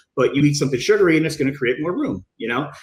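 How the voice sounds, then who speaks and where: The voice has a somewhat breathy quality. It is a man talking. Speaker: bodybuilding coach. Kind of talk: podcast interview. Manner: fast.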